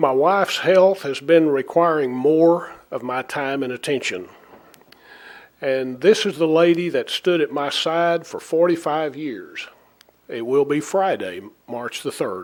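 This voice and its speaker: Fairly slow and fairly high in pitch, this man has an ordinary speaking voice. His pitch variation is ordinary. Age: 60s. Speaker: city mayor. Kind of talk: formal resignation speech. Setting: city council meeting. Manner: formal.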